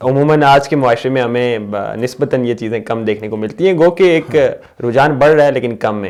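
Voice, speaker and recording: Medium in pitch with ordinary pitch variation, the man has an ordinary speaking voice. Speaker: interviewer, channel host. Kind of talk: interview question.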